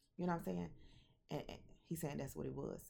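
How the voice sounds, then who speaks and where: Talking at a very fast pace in an animated tone, a woman is heard with audible room echo. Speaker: podcast host. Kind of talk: casual monologue.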